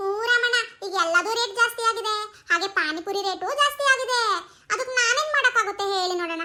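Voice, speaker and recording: A woman does a cartoonish character voice at an extremely high pitch, speaking at a moderate pace with ordinary pitch variation. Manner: chatty, friendly.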